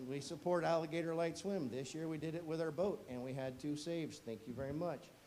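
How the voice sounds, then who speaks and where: A man with a fairly high voice talks at a fairly quick pace, with audible room echo around him. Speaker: fire chief. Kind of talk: presentation to council. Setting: council meeting room. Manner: fast.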